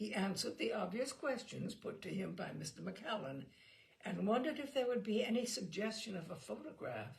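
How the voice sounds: Text is being read out loud. A natural reading voice carries it.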